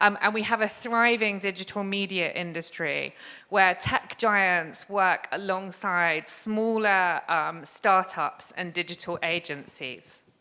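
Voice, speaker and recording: A woman with an English accent speaks at a very slow pace in a bright, sharp tone, her medium pitch showing ordinary variation, on a very clean recording with a silent background. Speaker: arts organisation director. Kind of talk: conference talk.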